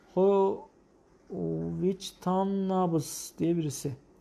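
A man speaks with a high pitch for a man. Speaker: cardiologist. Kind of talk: live medical Q&A broadcast. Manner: explanatory, hesitant fillers. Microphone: lapel.

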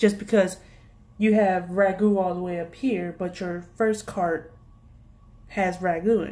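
A woman with an American accent, medium pitch, and a dark, mellow tone, at a fairly slow pace with long, frequent pauses and fairly even intonation. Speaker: youtube vlogger and retail worker. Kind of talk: angry rant about work pet peeves. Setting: video blog. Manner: exasperated, sassy, informal. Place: home room. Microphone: phone near.

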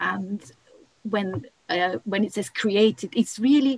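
The speaker delivers the words at a fairly slow pace in a somewhat breathy voice, with a dry sound and no echo. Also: woman. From Bulgaria. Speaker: archaeologist. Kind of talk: panel discussion. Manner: halting. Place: home room. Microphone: video call.

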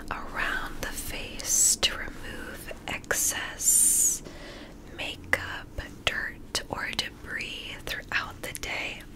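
Very slow whispering in a soothing tone. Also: woman. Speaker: relaxation video host. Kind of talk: soft-spoken roleplay. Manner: soft, close, soothing voice. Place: home room.

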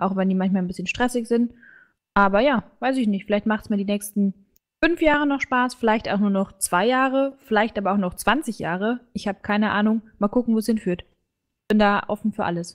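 Fairly high in pitch, a woman talks at a fairly quick pace. Her pitch varies in an ordinary way. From Bavaria, Germany. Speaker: student and streamer. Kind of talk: casual chat.

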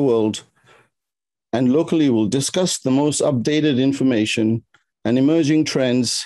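A man's dark, mellow tone comes through with a quiet background behind it. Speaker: symposium host. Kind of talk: formal welcome speech. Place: home room. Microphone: webcam.

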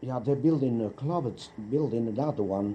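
A man talks with lively intonation against light background noise. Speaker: interviewee. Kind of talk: interview answer. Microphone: old recording.

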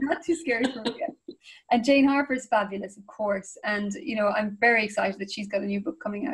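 Speaking with an Irish accent against a quiet background, a woman moves at a fairly quick pace with ordinary pitch variation. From Ireland. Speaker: crime fiction author. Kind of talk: interview answer. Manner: enthusiastic, casual. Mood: warm, enthusiastic. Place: home room. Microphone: video call.

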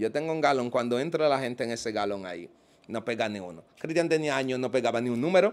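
This man's delivery is very fast. His pitch moves in a lively way. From Dominican Republic. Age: 30s. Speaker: self-described witch doctor; interview guest. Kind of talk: interview. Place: home room. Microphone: handheld.

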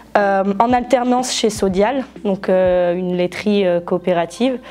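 This is a normal speaking voice. The woman talks at a fairly slow pace. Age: 20s. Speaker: former agricultural student, dairy advisor. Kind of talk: testimony. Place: classroom.

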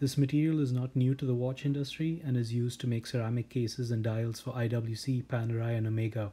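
With a dark, mellow tone and a somewhat breathy quality, a man at a medium pitch speaks at a very fast pace. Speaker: watch reviewer. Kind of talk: product review. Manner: flat, unenthusiastic.

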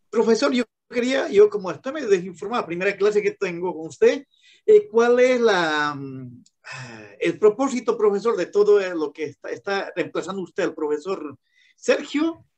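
With lively intonation and a high pitch, a man speaks against a quiet background. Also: moderate pace. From Bolivia. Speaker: law student. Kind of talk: class discussion. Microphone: video call.

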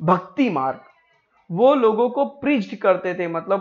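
With music in the background, a man speaks in a high pitch with very wide pitch swings. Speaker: online teacher. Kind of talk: lecture. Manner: code-switching Hindi and English.

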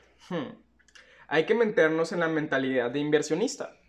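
Against a quiet background, a man speaks fairly slowly with a Mexican accent. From Mexico. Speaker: YouTuber, crypto and NFT commentator; YouTuber, NFT commentator. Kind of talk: unscripted video monologue. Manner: casual, slangy. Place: home room.

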